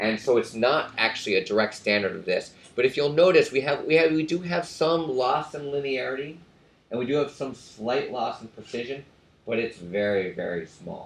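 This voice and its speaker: Lively in intonation, a man with a medium pitch speaks at a fairly quick pace. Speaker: professor. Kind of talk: lecture. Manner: fast.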